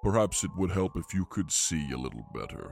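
A booming, put-on character voice from a man, very deep and low, at a fairly quick pace over clear background noise. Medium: actual play. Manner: regal, stately, slightly vain.

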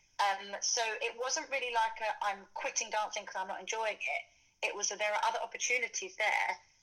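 A woman talks at a fairly quick pace in a London accent. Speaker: dancer and fitness influencer. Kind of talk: casual interview chat.

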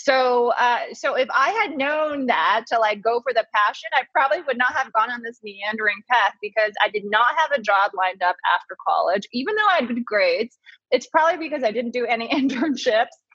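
A woman's fairly quick, high-pitched speech with an American accent, lively intonation, hardly any pauses, and a dry, close sound with no echo. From came from Taiwan at 3, grew up in US. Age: 30s. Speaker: beauty columnist and fragrance brand founder. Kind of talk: casual interview.

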